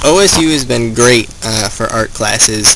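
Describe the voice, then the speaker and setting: A man talks at a medium pitch, with noticeable background noise behind him. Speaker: student bird artist and photographer. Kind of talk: documentary interview. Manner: casual, conversational.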